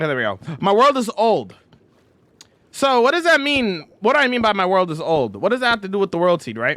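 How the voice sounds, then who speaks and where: A man's fairly quick, high-pitched speech with a bright, sharp tone and very wide pitch swings. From Canada. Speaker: video game streamer. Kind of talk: live stream chat. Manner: loud; emphatic.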